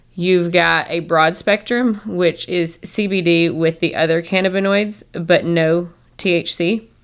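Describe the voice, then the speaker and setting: This speaker talks at a fairly slow pace with hardly any pauses, fairly even intonation and a slight Southern US accent, in a very clean recording with a silent background. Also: woman, fairly low pitch for a woman. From Northern Michigan. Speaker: holistic doctor. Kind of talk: casual interview chat.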